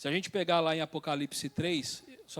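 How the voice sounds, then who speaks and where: The speaker, a man, uses a normal speaking voice at a fairly high pitch and a moderate pace. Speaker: church elder teaching Bible study. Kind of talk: Bible study lecture.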